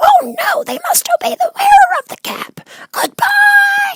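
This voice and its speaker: A squeaky, put-on character voice at an extremely high pitch and a fairly slow pace. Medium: read story. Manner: friendly.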